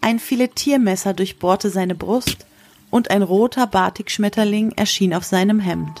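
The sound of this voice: A woman at medium pitch and moderate pace, with ordinary pitch variation and a slightly mellow tone.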